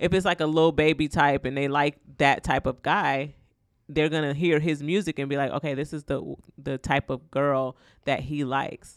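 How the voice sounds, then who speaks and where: On a very clean recording with a silent background, a woman speaks with a very deep, low pitch and fairly even intonation. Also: moderate pace. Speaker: podcast co-host. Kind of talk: casual chat. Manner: laughs often.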